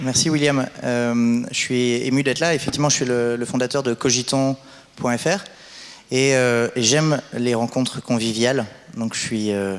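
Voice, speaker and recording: Speaking with a French accent, a man keeps a medium pitch, a moderate pace and fairly even intonation. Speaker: conference moderator. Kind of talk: event introduction. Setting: stage with audience. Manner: halting.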